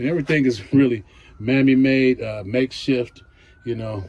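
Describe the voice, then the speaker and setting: A man with an American accent, a normal speaking voice, medium pitch, fairly even intonation and a moderate pace. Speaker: gardening vlogger. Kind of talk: casual walk-around vlog. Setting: outdoors in garden and greenhouse. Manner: relaxed, with fillers and repeats.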